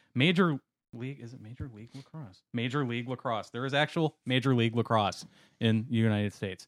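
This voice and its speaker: Recorded very cleanly with a silent background, a man talks at a very fast pace and a medium pitch, with ordinary pitch variation and big swings in loudness. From Wisconsin. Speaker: podcast co-host. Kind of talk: casual chat.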